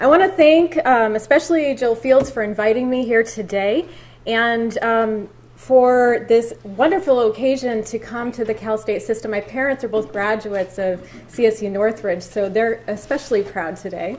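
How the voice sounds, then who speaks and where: A woman with an American accent speaks at a moderate pace. Her pitch is fairly high, with ordinary variation. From Southern California. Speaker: historian, guest lecturer. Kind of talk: lecture. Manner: soft-spoken.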